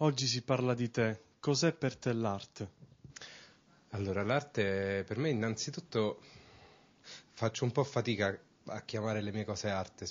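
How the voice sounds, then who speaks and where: A man speaks at a fairly slow pace with a medium pitch. His speech has long, frequent pauses. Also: ordinary pitch variation. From Rome, Italy; Italy. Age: 20s. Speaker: urban artist; interviewee. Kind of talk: interview. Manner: hesitant, with fillers. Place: hall. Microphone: handheld.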